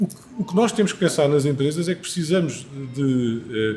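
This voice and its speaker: Lively intonation colors a man's speech, which moves at a fairly quick pace. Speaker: panel guest. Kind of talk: panel discussion. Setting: live recording before audience. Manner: halting.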